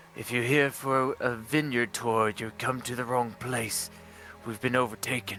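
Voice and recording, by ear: A man performs a put-on character voice at medium pitch and a moderate pace. Clear background noise runs behind him.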